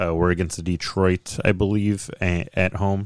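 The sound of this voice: The voice keeps fairly even intonation and a slightly mellow tone, and the sound is dry and close with no echo. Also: man.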